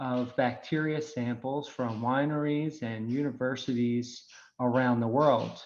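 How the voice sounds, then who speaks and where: In a Philadelphia accent, a man talks at a fairly slow pace with fairly even intonation. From Philadelphia, US. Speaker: wine microbiology technical specialist. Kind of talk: webinar presentation.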